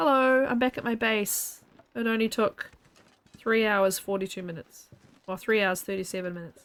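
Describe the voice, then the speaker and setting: With a normal speaking voice, a woman talks at a moderate pace and a fairly high pitch, using ordinary pitch variation. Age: 40s. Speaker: streamer. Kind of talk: casual chat; live gameplay commentary. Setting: live stream.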